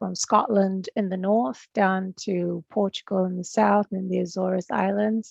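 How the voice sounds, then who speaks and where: With a slight New Zealand accent, a woman of medium pitch talks at a fairly slow pace with fairly even intonation and hardly any pauses, in a dry, close sound with no echo. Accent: non-Irish, slight Kiwi. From Fiji, studied in New Zealand. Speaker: agricultural research technician. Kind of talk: presentation.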